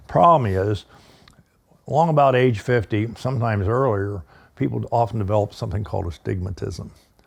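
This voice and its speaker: With an American accent, a man talks at a fairly quick pace and fairly low pitch, somewhat breathy, with lively intonation. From eastern US. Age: 70s. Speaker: firearms instructor. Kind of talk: casual chat.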